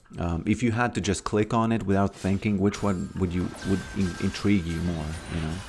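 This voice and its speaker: Music plays in the background as a man with a Latvian accent speaks at a fairly quick pace, his fairly low pitch held in fairly even intonation. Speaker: game streamer. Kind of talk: live stream chat. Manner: halting, many fillers and restarts.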